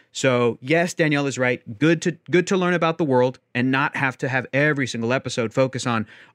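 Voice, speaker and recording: With an American accent, a man speaks fairly quickly in an ordinary speaking voice at medium pitch with ordinary pitch variation, recorded dry and close with no echo against a quiet background. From US South. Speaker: writer and podcast host. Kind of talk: friendly debate.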